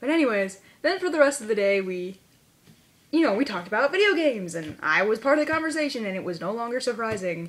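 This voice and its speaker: Talking at a very fast pace, a woman uses a fairly high pitch with very wide swings. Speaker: video blogger. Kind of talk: casual vlog. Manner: animated.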